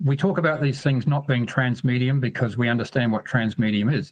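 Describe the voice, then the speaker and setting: A somewhat breathy man at a moderate pace, with ordinary pitch variation. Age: 60s. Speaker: caller. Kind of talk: call-in comment.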